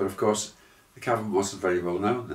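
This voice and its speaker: A man with a Liverpool accent speaks at a fairly low pitch. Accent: Scouse (Liverpool). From Liverpool, England. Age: 70s. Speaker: musician. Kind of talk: interview. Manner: hesitant, many fillers.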